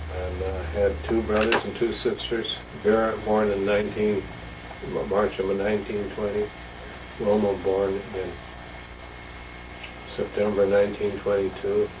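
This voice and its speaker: In an American accent, a man speaks fairly slowly at a fairly low pitch, in a flat monotone with long, frequent pauses. Audible room echo and noticeable background noise come through. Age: 70s. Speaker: grandfather telling his life story. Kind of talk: oral history interview.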